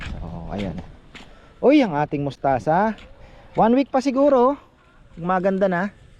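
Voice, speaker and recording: Pausing long and often, a man with a high pitch talks at a fairly slow pace, his pitch swinging very widely. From Bicol, Philippines. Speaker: gardening vlogger. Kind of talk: casual vlog narration.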